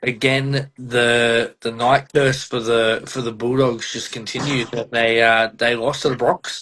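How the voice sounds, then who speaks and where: A man talks with an Australian accent. His pace is fairly slow and his intonation monotone and flat. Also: medium pitch for a man, hardly any pauses. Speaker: podcast host. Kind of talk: casual chat.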